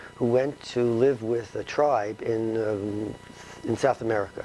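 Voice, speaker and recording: A man with a New York accent speaks at a medium pitch with ordinary pitch variation over noticeable background noise. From New York City, the Bronx. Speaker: retired philosophy professor and author. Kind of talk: interview. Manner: halting with many fillers.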